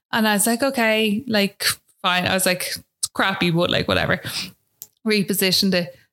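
In an Irish accent, a woman speaks at a medium pitch with a bright, sharp tone, very even loudness and long, frequent pauses. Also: moderate pace. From Ireland. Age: 20s. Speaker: new mother. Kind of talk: interview testimony. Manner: casual, filler-heavy.

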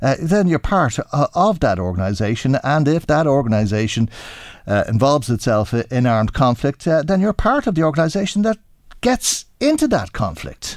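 On a very clean recording with a silent background, a man with an Irish accent speaks at a moderate pace, fairly high-pitched, with very wide pitch swings. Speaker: radio host. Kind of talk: radio current affairs interview. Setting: studio.

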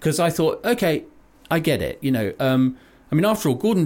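This man's voice carries vocal fry. The recording is very clean, with a silent background. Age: 50s. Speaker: podcast co-host. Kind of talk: casual chat. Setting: studio.

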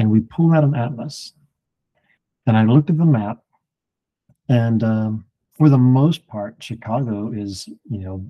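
In a very clean recording with a silent background, a man speaks at medium pitch in a dark, mellow tone. His pace is fairly slow and his pitch variation ordinary. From Alabama. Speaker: Bible teacher. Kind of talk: Bible study discussion.

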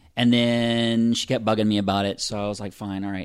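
Here a man speaks with an American accent. His pitch is fairly low and his intonation fairly even. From US South, Pensacola, Florida. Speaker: audio drama writer-director and actor. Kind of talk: casual interview. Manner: halting.

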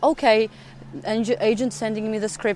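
A woman talks at a moderate pace with a Russian accent. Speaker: actress. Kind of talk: interview. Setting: outdoors. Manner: halting.

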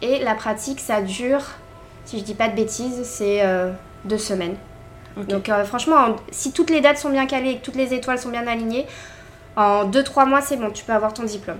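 Against noticeable background noise, a woman with a fairly high voice talks at a fairly quick pace yet leaves long, frequent pauses. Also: ordinary pitch variation. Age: 20s. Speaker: flight attendant. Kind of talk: casual interview.

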